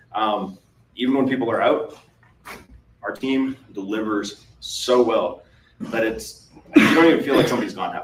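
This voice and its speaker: With noticeable background noise and audible room echo, a man's voice comes through. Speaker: MSP business owner presenting at a conference. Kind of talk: conference presentation. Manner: fast.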